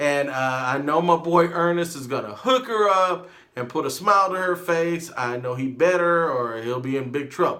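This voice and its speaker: A high-pitched man with an American accent, bright and sharp in tone, with lively intonation, a moderate pace, hardly any pauses and audible room echo. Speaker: vlogger. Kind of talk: casual vlog monologue. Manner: may raise voice during rant.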